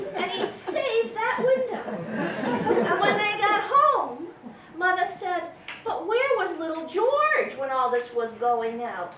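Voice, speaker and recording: The speech moves at a very slow pace with very wide swings in pitch, against noticeable background noise. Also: woman, extremely high pitch for a woman. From New Hampshire. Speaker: storyteller. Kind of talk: live storytelling to an audience.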